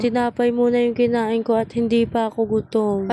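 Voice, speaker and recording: A soft-spoken woman's voice, fairly high in pitch. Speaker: vlogger. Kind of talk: voice-over narration. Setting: cemetery at night. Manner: casual.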